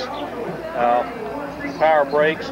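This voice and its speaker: Noticeable background noise runs under the voice. The sound is dry, with no echo. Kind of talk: interview answer. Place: street. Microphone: old recording.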